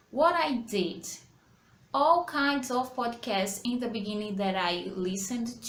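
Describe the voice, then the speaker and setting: Lively intonation marks a woman's fairly high voice at a very slow pace. Audible room echo and noticeable background noise fill the recording. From Brazil. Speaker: English teacher. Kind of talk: tutorial. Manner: halting.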